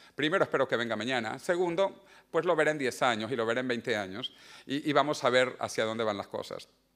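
Medium-pitched male voice at a fairly quick pace, with ordinary pitch variation and a quiet background. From Venezuela. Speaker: author and futurist. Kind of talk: book presentation talk. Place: hall. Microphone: lapel.

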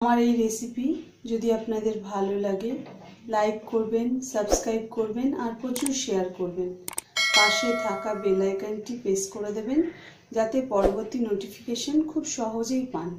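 Her intonation fairly even, a woman talks over noticeable background noise. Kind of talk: tutorial. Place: kitchen. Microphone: phone near.

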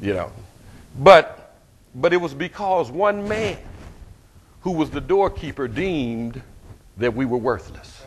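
A man with an American accent speaks at a fairly slow pace in an animated tone, his fairly high pitch swinging very widely and roughened by vocal fry. Long, frequent pauses break up his speech, with light background noise behind him. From US South. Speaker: pastor. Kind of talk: sermon. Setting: church. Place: church.

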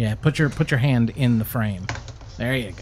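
A man at a fairly slow pace with big swings in loudness, over light background noise. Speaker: livestream co-host reading chat. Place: home room. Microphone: studio mic.

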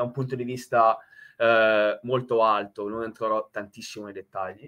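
A man's bright, sharp tone at a moderate pace, over a quiet background. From Italy. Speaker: nuclear engineer and professor. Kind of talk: technical presentation. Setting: video call. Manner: halting, many filler sounds and repetitions. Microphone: headset.

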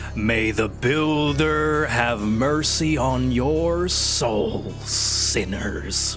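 Over loud background music, a man in a put-on character voice speaks at a very slow pace with hardly any pauses. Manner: solemn and authoritative.

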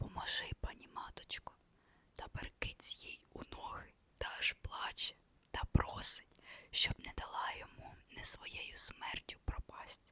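A woman whispering at a very slow pace, with a dry, close sound and no echo. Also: big swings in loudness. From Ukraine. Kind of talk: ASMR reading of a classic novella. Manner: whispered.

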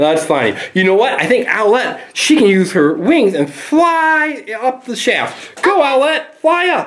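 The speech moves at a very slow pace. Light background noise is present. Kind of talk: casual vlog chat. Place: tunnel cave. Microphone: phone near.

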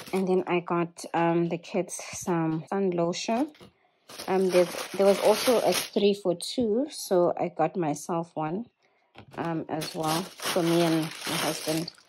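The speech is very slow, with ordinary pitch variation. Noticeable background noise is present. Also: woman, fairly low pitch for a woman. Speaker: vlogger. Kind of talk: casual haul chat. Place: home room. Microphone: phone near.

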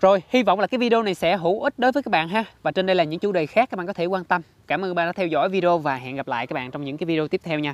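A very fast pace with hardly any pauses. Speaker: tech video creator. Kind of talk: tutorial. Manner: explanatory, friendly.

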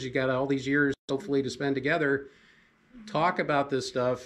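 Moderate pacing from a male speaker. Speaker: marriage class teacher. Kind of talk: lecture. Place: classroom.

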